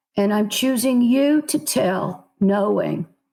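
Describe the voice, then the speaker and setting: A medium-pitched woman's voice with vocal fry and an American accent. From South Carolina, USA. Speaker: novelist. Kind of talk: interview answer.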